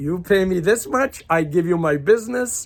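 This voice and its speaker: The recording is very clean, with a silent background. A man speaks in a high pitch. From Croatia (left Yugoslavia at 8, grew up abroad). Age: 60s. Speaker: life coach. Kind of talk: casual monologue. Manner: halting, repetitive stammering.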